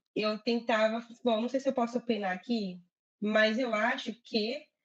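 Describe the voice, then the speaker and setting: Using a Brazilian accent, a woman speaks at a fairly slow pace and a fairly high pitch, with fairly even intonation and very even loudness. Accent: Brazilian accent in English, reduced. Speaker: agile project manager. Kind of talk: live interview chat.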